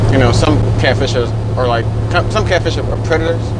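A man at a fairly quick pace over loud background noise. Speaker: truck driver vlogger. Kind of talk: casual vlog chat. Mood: relaxed, joking. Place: car.

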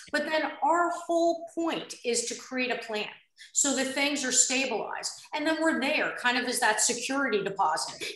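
A woman speaks at a high pitch with lively intonation. Room echo can be heard around her voice. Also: moderate pace. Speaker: nurse care manager; panelist. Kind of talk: panel discussion. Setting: video call. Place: home room. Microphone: video call.

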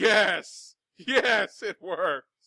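A man speaks in a put-on character voice. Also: high pitch for a man. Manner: gleeful, laughing.

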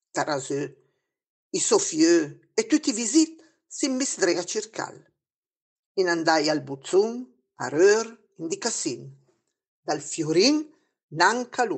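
In a Lombard accent, a woman speaks very slowly at a medium pitch, swinging very widely in pitch and taking long, frequent pauses. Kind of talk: storytelling in local dialect.

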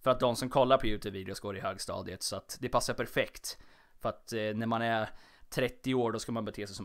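Very fast male speech on a very clean recording, the background silent. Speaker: podcast host. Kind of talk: solo casual monologue. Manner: stumbling over words; animated, chatty.

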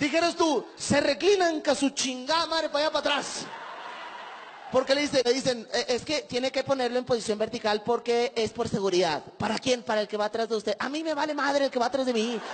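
This man's voice is extremely high in pitch. He talks fairly quickly with ordinary pitch variation. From Mexico, Monterrey. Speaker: stand-up comedian. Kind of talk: stand-up. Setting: stage with audience. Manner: animated. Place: stage. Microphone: handheld.

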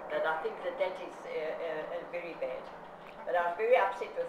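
A woman speaks over noticeable background noise. The room adds an audible echo. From South Africa. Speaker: consumer activist. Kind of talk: interview. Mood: indignant, strongly opinionated. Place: home room. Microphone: camera far.

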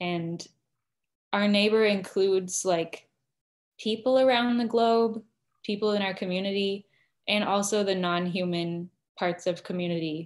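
A woman with an American accent speaks at a fairly slow pace with fairly even intonation, pausing long and often. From Arizona, US. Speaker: seminary student; interview guest. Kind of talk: online interview. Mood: earnest, reflective. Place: home room. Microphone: video call.

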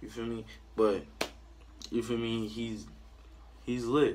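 A man speaks against noticeable background noise. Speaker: vlogger. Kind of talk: casual vlog chat. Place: home room. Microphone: phone near.

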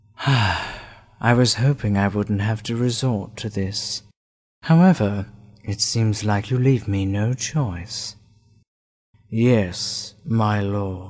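A put-on character voice, low in pitch, goes along at a very slow pace on a very clean recording with a silent background. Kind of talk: voice acting audition. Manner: calm, polite.

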